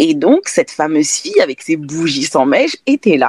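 Very wide pitch swings mark this fairly slow delivery, recorded with a dry, close sound and no echo. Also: woman. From France. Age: 20s. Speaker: candle brand founder. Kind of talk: interview. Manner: hesitant, many fillers.

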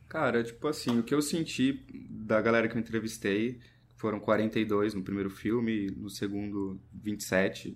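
With a normal speaking voice, a man speaks fairly slowly at a fairly low pitch and with fairly even intonation. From Brazil, interior of São Paulo state (Serra Negra). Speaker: documentary filmmaker. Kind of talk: casual interview.

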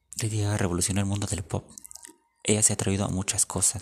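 A man speaks in a somewhat breathy voice. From Mexico. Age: 20s. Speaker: podcaster. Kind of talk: casual monologue.

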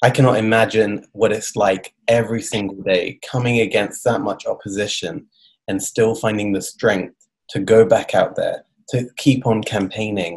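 Somewhat breathy, a man with a British accent speaks at a medium pitch and moderate pace with ordinary pitch variation. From Britain. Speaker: podcast host. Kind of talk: interview.

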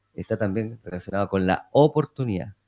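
A man with a very deep, low pitch. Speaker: mayor. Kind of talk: radio interview. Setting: town hall.

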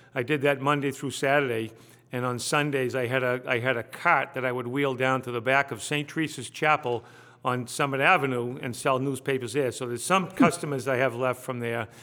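A man with a Boston accent talks at a fairly quick pace in a medium pitch. His tone is bright and sharp, his intonation fairly even. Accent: Eastern New England (Boston area). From Salem, Massachusetts (US New England). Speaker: state representative, former police officer. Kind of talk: casual interview.

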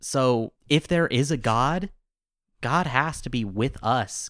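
Heard in a very clean recording with a silent background, an unremarkable speaking voice has ordinary pitch variation. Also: man. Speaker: podcast host. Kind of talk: casual chat.

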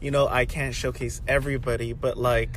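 The pace of speech is moderate. Noticeable background noise and audible room echo are present. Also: man. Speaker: music show host. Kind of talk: casual monologue. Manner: casual, with many fillers.

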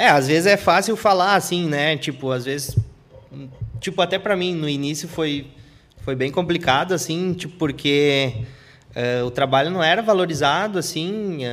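An unremarkable speaking voice from a man, fairly high in pitch with ordinary pitch variation, at a moderate pace. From interior of Rio Grande do Sul, Brazil. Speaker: graffiti artist. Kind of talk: live podcast interview. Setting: studio.

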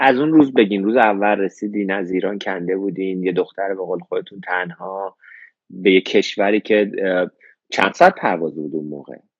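This is a plain, everyday voice. It goes at a fairly quick pace with ordinary pitch variation. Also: man, fairly low pitch for a man. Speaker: live show host, interviewer. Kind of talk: interview, casual chat.

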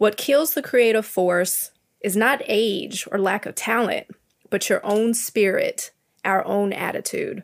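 A woman talks at a fairly slow pace in a plain, everyday voice, fairly high in pitch with ordinary pitch variation. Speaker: graphic designer. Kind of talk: casual panel discussion.

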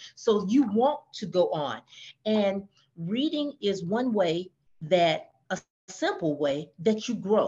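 At a very slow pace, a woman speaks in a dark, mellow, somewhat breathy tone, with very wide pitch swings. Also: medium pitch for a woman. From US South, Georgia. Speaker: author. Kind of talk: podcast interview.

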